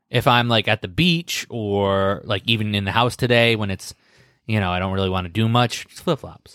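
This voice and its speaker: On a very clean recording with a silent background, a man talks in an unremarkable speaking voice with ordinary pitch variation, the sound dry and close with no echo. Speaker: podcast co-host. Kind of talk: casual chat. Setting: studio.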